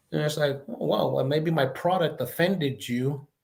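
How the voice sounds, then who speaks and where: This man talks at a fairly quick pace with lively intonation and a fairly high pitch, sounding somewhat breathy. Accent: American. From El Paso, Texas. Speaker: retired law enforcement chief and leadership expert. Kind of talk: interview answer. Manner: conversational.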